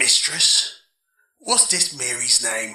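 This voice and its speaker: The voice is a raspy, put-on character voice. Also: man. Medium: audio drama. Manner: gruff, menacing.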